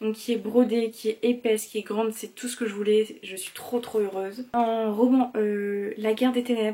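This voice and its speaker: A woman speaks at a moderate pace with a fairly high pitch. Her intonation stays monotone and flat. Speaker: manga collector youtuber. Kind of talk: casual haul video chat. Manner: hesitant, many filler words.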